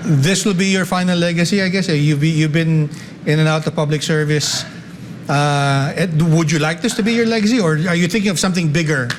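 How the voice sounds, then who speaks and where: Amid noticeable background noise and audible room echo, a man with a high pitch talks fairly quickly, keeping his loudness very even and his pitch variation ordinary. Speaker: talk show host. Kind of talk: interview.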